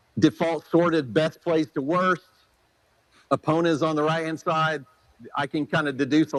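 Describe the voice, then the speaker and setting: Using an ordinary speaking voice, a man talks at a fairly quick pace with a fairly high pitch and fairly even intonation. The sound is dry and close, with no echo. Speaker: software presenter. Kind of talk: product demo at a clinic. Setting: clinic presentation with audience.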